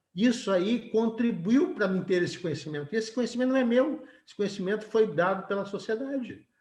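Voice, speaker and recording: Hardly pausing, a man speaks at a fairly quick pace in a high pitch, with lively intonation and big swings in loudness. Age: 70s. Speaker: engineering professor. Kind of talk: webinar lecture. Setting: video call webinar. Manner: conversational, frequent tag questions (certo?, tá?).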